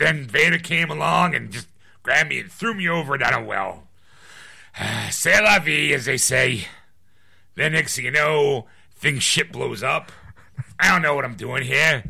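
A man's put-on character voice, fairly high-pitched, at a moderate pace. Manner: villainous, mocking, gloating.

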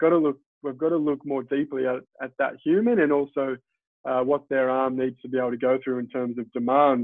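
At a very fast pace, a man with a fairly high pitch talks in an Australian accent. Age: 30s. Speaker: physiotherapist. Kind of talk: interview.

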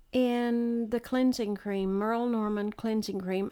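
With a Texan accent, the speaker goes at a fairly slow pace in a monotone, flat intonation. The recording is very clean, with a silent background. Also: woman. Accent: Texan Southern US. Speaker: host's mother. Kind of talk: casual chat. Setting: home, birds and TV in background.

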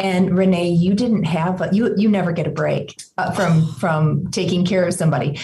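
Over noticeable background noise, a woman speaks at a moderate pace with hardly any pauses, using a medium pitch and ordinary pitch variation. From small town. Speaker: doctor and author. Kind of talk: interview conversation.

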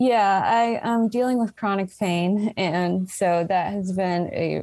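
A woman with a normal speaking voice at a fairly slow pace, ordinary pitch variation, on a very clean recording with a silent background. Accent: American. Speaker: recovering alcoholic. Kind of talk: interview testimony.

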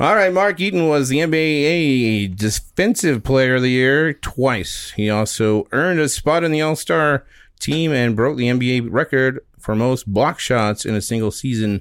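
In an unremarkable speaking voice with lively intonation and very even loudness, the speaker goes at a fairly slow pace in a very clean recording with a silent background. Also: man. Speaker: podcast co-host. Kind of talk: casual chat. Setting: studio.

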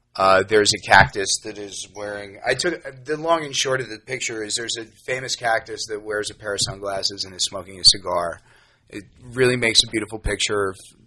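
With an American accent, a man uses a normal speaking voice at a fairly low pitch and fairly quick pace, with ordinary pitch variation and big swings in loudness. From New York. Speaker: musician. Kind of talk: casual chat.

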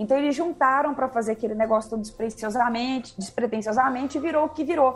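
A woman speaks with lively intonation over music playing in the background. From Minas Gerais, Brazil (Uberlândia). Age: 30s. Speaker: music journalist. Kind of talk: casual chat.

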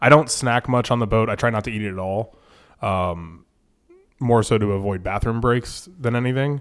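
A man speaks at a moderate pace in an American accent, with medium pitch and ordinary pitch variation. It is an unremarkable speaking voice. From Florida, Sarasota. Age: 30s. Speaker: fishing guide. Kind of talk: casual chat.

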